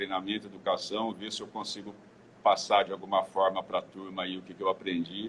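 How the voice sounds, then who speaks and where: The pitch of this man is fairly low. He speaks at a moderate pace. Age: 60s. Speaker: clinical engineer. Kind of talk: interview. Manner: halting, many repetitions.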